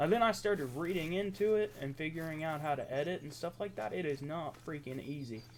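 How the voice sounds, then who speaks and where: With an American accent, a man speaks at a fairly high pitch and fairly quick pace, using lively intonation. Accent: Appalachian, redneck-sounding. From southeastern Ohio, Appalachia. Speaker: gaming youtuber. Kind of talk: casual gameplay commentary. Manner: casual, conversational.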